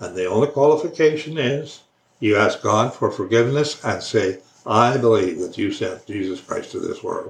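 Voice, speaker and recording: The voice is somewhat breathy, with lively intonation and a Canadian accent. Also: man, medium pitch for a man. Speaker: religious video blogger. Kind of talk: casual monologue on faith. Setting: recorded alone for online video. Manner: slow.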